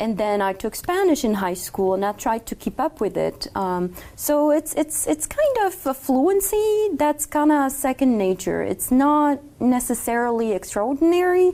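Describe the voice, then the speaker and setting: With a French accent, a woman talks at a fairly slow pace in a high pitch with very wide pitch swings. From Morocco. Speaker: law student. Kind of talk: interview.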